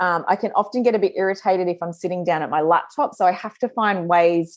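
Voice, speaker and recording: A woman speaks with an Australian accent at medium pitch. The background is quiet. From Australia, northern New South Wales. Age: 40s. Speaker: podcast host and business mentor. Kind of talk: solo podcast monologue. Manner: casual, chatty with filler words.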